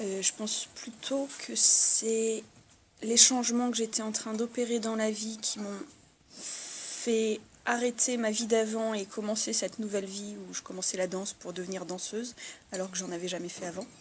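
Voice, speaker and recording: At a fairly slow pace, a woman speaks with fairly even intonation over noticeable background noise. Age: 30s. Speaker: dancer. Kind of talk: interview. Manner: halting.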